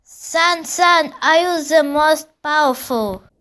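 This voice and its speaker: Using a put-on character voice, a woman speaks at a high pitch and a very slow pace with ordinary pitch variation. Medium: read story. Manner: repetitive, pleading.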